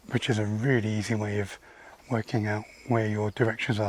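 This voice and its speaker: With noticeable background noise behind him, a man speaks at a moderate pace in a fairly low pitch with monotone, flat intonation. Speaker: hiking vlogger. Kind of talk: walking vlog narration. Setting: outdoors, countryside walk. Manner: whispering, quieter than usual.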